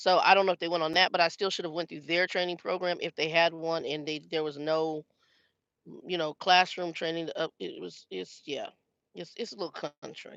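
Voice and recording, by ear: The voice has a bright, sharp tone and a fairly quick pace, recorded with a dry, close sound and no echo.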